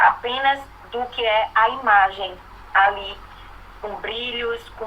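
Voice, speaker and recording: Against noticeable background noise, a woman speaks very slowly in a fairly high voice with ordinary pitch variation. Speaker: student. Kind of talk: online class discussion.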